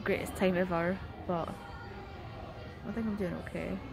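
Over clear background music, a woman speaks in a weary, monotone, flat voice at a moderate pace, the sound dry with no echo. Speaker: traveller vlogger. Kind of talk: casual vlog chat. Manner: weary, sleep-deprived, low-energy talk. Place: station. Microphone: phone near.

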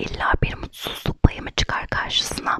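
A whispering woman at a fairly slow pace. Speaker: ASMR creator and blogger. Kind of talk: ASMR blog reading, essay read aloud. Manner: soft, whispered. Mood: reflective, melancholic. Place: home room. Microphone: studio mic.

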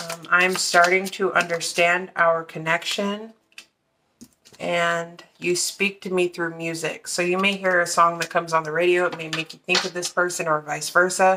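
In a fairly low pitch, a woman speaks with a bright, sharp tone and monotone, flat intonation over noticeable background noise. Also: moderate pace. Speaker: card reader. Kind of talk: tarot reading commentary. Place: home room.

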